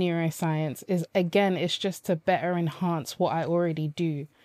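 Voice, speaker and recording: A woman speaks at a moderate pace in a fairly low pitch with a dark, mellow tone and fairly even intonation. The sound is dry and close with no echo, on a very clean recording with a silent background. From Nigeria, then London from about age nine. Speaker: life coach. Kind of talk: interview conversation.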